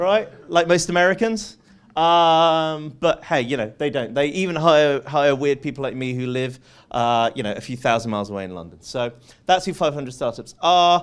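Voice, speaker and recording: Fairly high in pitch for a man, this male voice carries a British accent. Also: lively intonation, moderate pace, very clean recording, silent background. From UK. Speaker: venture capitalist and conference speaker. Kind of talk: conference talk. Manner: lively, conversational with many fillers.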